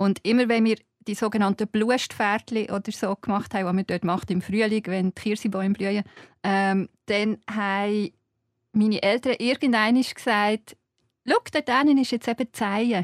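A woman with a Swiss accent, fairly high pitch, fairly even intonation and moderate pace, in a very clean recording with a silent background. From Switzerland, Fricktal (Aargau). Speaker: journalist and writer. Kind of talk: casual interview. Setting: studio.

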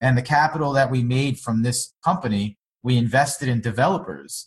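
With an American accent, a somewhat breathy man speaks at medium pitch and a moderate pace, his intonation fairly even. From Long Island, New York. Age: 30s. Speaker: startup founder. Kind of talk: interview.

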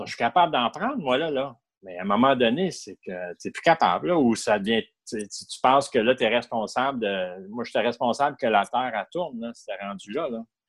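A man's medium-pitched voice with a Canadian French accent, lively intonation and big swings in loudness. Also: moderate pace. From Ottawa, Ontario, Canada. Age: 50s. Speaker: person in recovery from alcohol addiction. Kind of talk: personal testimony interview.

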